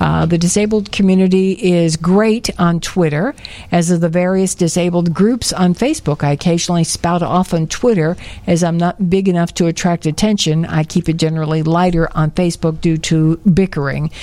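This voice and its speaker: A woman's plain, everyday voice, fairly low in pitch, with a moderate pace, very even loudness and fairly even intonation. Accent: American. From Chicago. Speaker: radio host. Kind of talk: casual chat. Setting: studio.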